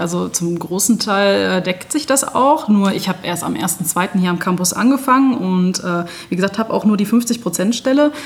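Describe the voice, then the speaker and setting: Over noticeable background noise, a woman speaks at a medium pitch and moderate pace with ordinary pitch variation. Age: 30s. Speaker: nursing educator. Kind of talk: interview. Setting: on location, in person.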